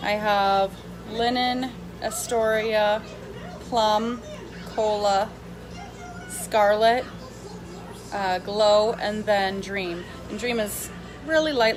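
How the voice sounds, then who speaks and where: With music in the background and audible room echo, a woman talks at a very slow pace in a fairly high pitch, with ordinary pitch variation, big swings in loudness and long, frequent pauses. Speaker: makeup seller vlogger. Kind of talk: casual live makeup demo.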